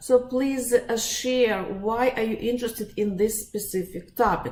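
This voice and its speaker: A woman's fairly high voice with a Russian accent. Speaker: psychologist and life coach. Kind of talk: webinar presentation. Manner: halting, many fillers.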